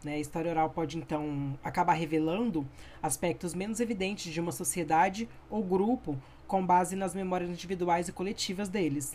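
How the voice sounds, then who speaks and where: A woman with a dark, mellow tone talks at a moderate pace in a fairly low pitch, with ordinary pitch variation. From Brazil, Campo Grande (Mato Grosso do Sul). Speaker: history student. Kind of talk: educational podcast presentation.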